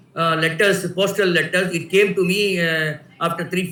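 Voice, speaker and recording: A man's high-pitched, monotone, flat voice with audible room echo. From India, Tamil Nadu. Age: 60s. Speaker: writer. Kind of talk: personal storytelling. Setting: video call. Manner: halting, many fillers.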